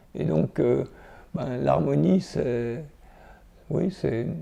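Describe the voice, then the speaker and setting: A man is speaking. His pace is very slow. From France, Jura. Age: 70s. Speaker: ecologist, scientist. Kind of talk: interview. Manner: halting, many repetitions and hesitations.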